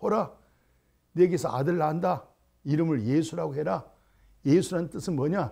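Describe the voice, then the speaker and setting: Very clean, with a silent background, the recording captures a man. His tone is dark and mellow. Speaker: pastor. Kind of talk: sermon. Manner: raised, emphatic intonation; animated.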